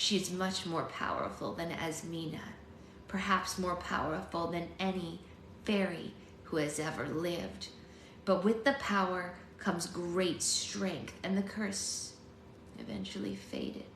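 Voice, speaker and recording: A woman's raspy, put-on character voice at a fairly low pitch and moderate pace, with slight echo and clear background noise. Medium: read story. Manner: growling, menacing.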